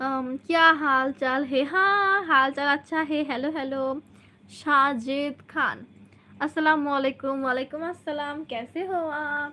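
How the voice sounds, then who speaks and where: A woman's high-pitched, raised, projected voice. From Bangladesh, Kushtia. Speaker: vlogger. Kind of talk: livestream chat with viewers. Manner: animated.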